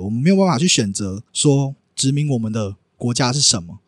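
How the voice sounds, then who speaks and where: Dry and close with no echo, a man's voice moves through very wide pitch swings. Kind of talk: casual interview chat.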